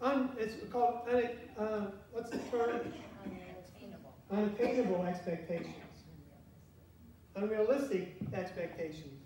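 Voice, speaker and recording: Speaking at a fairly slow pace with long, frequent pauses, a man has a high pitch and ordinary pitch variation. Light background noise and audible room echo are present. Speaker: pastor. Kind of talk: sermon. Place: church. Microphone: camera far.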